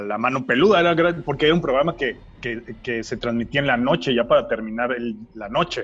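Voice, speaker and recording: A man with an ordinary speaking voice and ordinary pitch variation. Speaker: podcast co-host. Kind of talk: casual chat.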